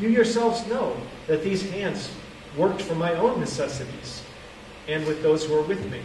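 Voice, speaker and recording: The speaker is a man, and the room echo is audible. There is light noise in the background. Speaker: preacher. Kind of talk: scripture reading then sermon. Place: hall. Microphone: camera far.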